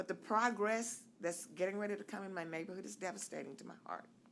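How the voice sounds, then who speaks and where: A woman's medium-pitched voice with lively intonation and vocal fry. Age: 70s. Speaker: resident giving public comment. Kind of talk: public comment at city meeting. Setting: city commission meeting.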